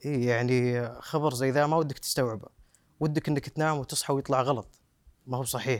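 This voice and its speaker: On a very clean recording with a silent background, a man of medium pitch speaks at a moderate pace with fairly even intonation and very even loudness. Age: 30s. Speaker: son of a terror victim. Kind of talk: interview testimony. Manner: halting with repetitions.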